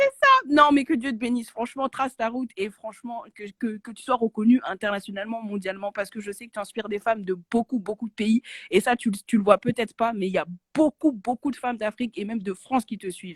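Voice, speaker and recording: In a dry, close recording with no echo, a woman talks fairly quickly at a fairly high pitch, somewhat breathy, with ordinary pitch variation and big swings in loudness. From Côte d'Ivoire. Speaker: caller. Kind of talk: phone-in praise.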